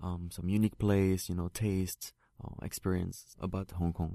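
Against a quiet background, a man with a French accent speaks at a moderate pace in a very deep, low pitch, his tone dark and mellow and his intonation monotone and flat. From France. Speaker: actor and model. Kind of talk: interview. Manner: halting.

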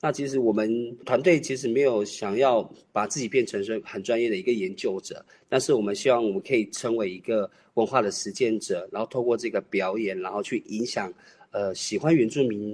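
A man with an ordinary speaking voice talks at a fairly quick pace, medium in pitch, with ordinary pitch variation. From Taiwan, Miaoli Tai'an, Atayal. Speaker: dance troupe leader. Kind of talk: interview.

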